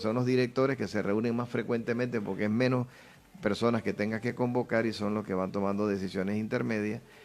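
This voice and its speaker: A man with an unremarkable speaking voice talks at a medium pitch. His pace is fairly quick and his intonation fairly even. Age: 60s. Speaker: politician. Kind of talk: interview.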